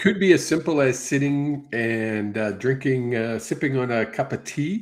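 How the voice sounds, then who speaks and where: This man has a normal speaking voice, medium in pitch with ordinary pitch variation. He speaks at a moderate pace in a very clean recording with a silent background. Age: 60s. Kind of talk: psychic reading on live stream. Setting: live stream broadcast.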